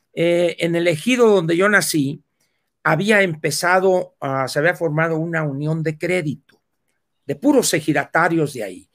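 A high-pitched man at a fairly slow pace. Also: ordinary pitch variation. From Mexico, Sonora. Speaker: political commentator. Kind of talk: casual chat. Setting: live video stream.

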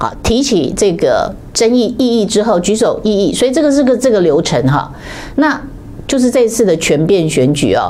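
With a Taiwanese accent, a woman speaks at a fairly high pitch with very wide pitch swings, amid noticeable background noise and audible room echo. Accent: Taiwanese Mandarin. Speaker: political commentator. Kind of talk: political commentary livestream.

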